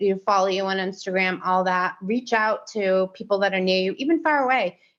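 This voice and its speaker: A woman's normal speaking voice at medium pitch and moderate pace, against a quiet background. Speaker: fisherman's partner and mother. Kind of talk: podcast interview.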